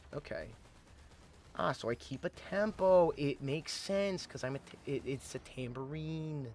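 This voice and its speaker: Over music in the background, a man speaks loudly at a fairly slow pace, his fairly high pitch showing ordinary variation. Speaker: gaming streamer. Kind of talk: live gameplay commentary. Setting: live stream. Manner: animated.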